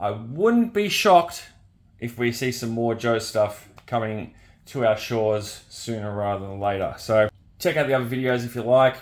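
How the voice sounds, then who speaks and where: This man has an Australian accent and a medium pitch. His pitch varies in an ordinary way, and he talks at a moderate pace. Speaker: toy reviewer. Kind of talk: product review.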